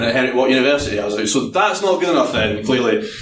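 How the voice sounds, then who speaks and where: A man's medium-pitched voice in a Scottish accent, very fast, with audible room echo and noticeable background noise. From Scotland. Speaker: penetration tester. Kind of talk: conference talk. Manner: hesitant, many fillers.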